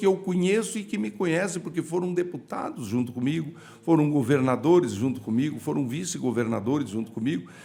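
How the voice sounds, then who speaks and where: Speaking at a fairly quick pace with hardly any pauses, a man sends his pitch through very wide swings. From Paraná, Brazil (Vale do Ivaí). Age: 60s. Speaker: politician, senate candidate. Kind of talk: interview.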